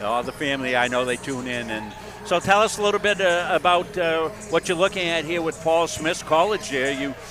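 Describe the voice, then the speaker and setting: A man at a fairly quick pace and fairly high pitch, with music in the background. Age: 70s. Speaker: sideline interviewer for college basketball broadcast. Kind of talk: post-game/court-side interview.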